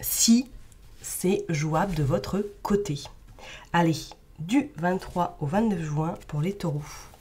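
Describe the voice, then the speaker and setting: Woman's fairly low, dark, mellow and somewhat breathy voice, very slow with long, frequent pauses, on a very clean recording with a silent background. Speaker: tarot card reader. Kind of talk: tarot reading.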